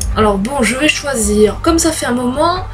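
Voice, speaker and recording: The speech moves at a fairly slow pace. Music plays behind it, and the room echo is audible. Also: woman. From France. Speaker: gaming video creator. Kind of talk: gameplay commentary. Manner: halting, many hesitations.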